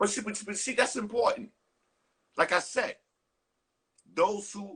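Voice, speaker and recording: A man's bright, sharp tone with a New York accent. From New York, the Bronx. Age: 60s. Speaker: hip hop interview host. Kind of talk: casual interview.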